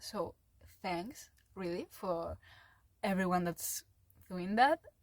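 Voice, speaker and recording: A woman with a non-native accent speaks at a very slow pace with ordinary pitch variation. The recording is very clean, with a silent background and a dry, close sound with no echo. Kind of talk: casual podcast-style rant to camera. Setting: home room, low-quality mic. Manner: hesitant, many filler words.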